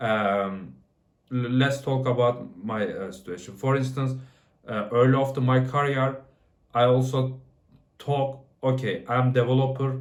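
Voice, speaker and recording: A man speaks fairly slowly at a medium pitch, leaving long, frequent pauses. His intonation is fairly even, and room echo is audible. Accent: non-native. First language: not English. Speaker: software developer. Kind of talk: casual talk to camera. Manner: halting, many fillers and restarts.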